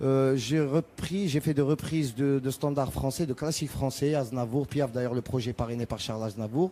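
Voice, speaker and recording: This man speaks with an Arabic accent at a medium pitch. His tone is dark and mellow. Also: ordinary pitch variation, moderate pace. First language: Arabic (speaking French). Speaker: rai singer. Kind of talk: TV interview. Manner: halting, many repetitions.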